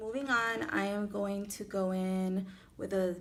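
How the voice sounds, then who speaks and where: A woman speaks in a Miami accent. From Miami, Florida. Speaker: beauty vlogger. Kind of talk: makeup tutorial; tutorial. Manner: casual, chatty with fillers. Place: home room. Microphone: phone near.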